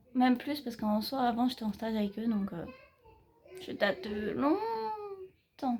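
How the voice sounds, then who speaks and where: Fairly high female voice, dark and mellow in tone, at a fairly slow pace. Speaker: vlogger, civic service volunteer and youth activity leader. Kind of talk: casual vlog outro. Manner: halting, stammering.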